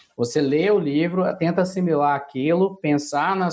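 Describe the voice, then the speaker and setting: There is noticeable background noise. A man with a fairly high voice speaks with ordinary pitch variation. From Brazil, Minas Gerais (Belo Horizonte). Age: 30s. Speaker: business consultant and coach. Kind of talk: interview.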